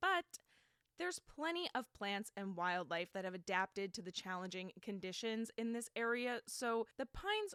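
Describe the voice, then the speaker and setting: Bright and sharp in tone, a woman with an American accent speaks at a moderate pace, the sound dry and close with no echo. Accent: New Jersey accent, comes out at times. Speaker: podcast host. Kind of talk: casual storytelling monologue. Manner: animated.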